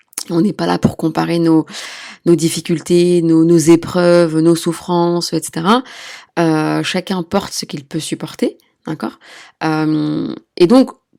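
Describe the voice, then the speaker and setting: Against a silent background in a very clean recording, a woman speaks very slowly in a fairly low pitch with a dark, mellow tone and ordinary pitch variation. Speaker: midwife and sex therapist podcast host. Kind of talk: solo podcast talk.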